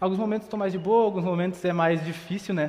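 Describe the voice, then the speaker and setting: This man speaks in a high pitch. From southern Brazil, Sapiranga (Rio Grande do Sul). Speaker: seminary student preacher. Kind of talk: sermon. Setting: church, livestreamed.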